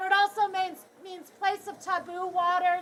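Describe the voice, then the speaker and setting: Loud and at a fairly slow pace, a woman speaks in a bright, sharp tone. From Canada. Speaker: tour guide. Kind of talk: guided tour talk. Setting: outdoors. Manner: animated.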